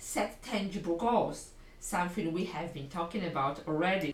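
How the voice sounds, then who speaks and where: A woman in a Polish accent speaks at a fairly slow pace. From Poland. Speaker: English language coach. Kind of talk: solo podcast lesson.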